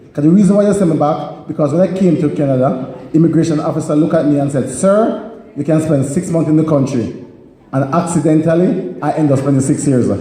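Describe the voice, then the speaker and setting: At a very fast pace, a man speaks with fairly high pitch, ordinary pitch variation and very even loudness, with audible room echo and noticeable background noise. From Jamaica. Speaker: comedian and public speaker. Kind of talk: stand-up.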